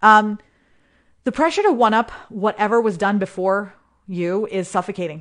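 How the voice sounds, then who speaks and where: Long, frequent pauses break up a woman's moderate pace, her pitch medium and her pitch variation ordinary. The background is quiet. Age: 40s. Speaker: podcast host and business coach. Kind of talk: solo podcast monologue. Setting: live recording. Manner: casual, with fillers and restarts.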